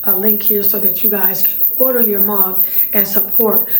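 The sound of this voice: A raspy woman's voice with little pitch movement, a slightly mellow tone, a fairly slow pace and audible room echo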